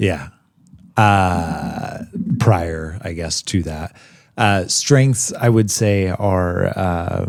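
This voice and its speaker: On a very clean recording with a silent background, a man talks with a very deep, low pitch and ordinary pitch variation. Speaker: podcast host. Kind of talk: casual chat. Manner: fast.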